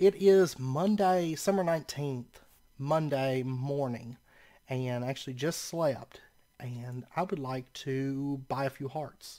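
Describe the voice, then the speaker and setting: Speaking at a very slow pace, a man has a dark, mellow tone, a fairly high pitch and ordinary pitch variation. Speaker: gaming let's play creator. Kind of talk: casual gameplay commentary.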